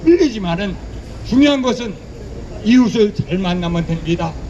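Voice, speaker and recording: A man's lively intonation at a moderate pace, with audible room echo and noticeable background noise. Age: 60s. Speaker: preacher. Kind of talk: sermon. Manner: animated.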